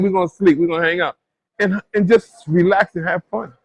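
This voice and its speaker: A man's voice in a dry, close sound with no echo. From New York, Brooklyn (Bed-Stuy). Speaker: boxing trainer. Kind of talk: interview. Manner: halting, self-repeating.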